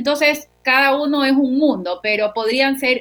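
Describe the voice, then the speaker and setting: An unremarkable speaking voice from a woman, with ordinary pitch variation at a moderate pace. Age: 40s. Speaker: psychologist. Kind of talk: interview.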